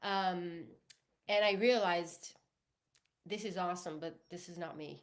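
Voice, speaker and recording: A woman's fairly slow speech in an Italian accent, with long, frequent pauses and big swings in loudness. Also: fairly low pitch for a woman, fairly even intonation. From Italy. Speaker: singer-songwriter. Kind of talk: interview. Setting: podcast livestream.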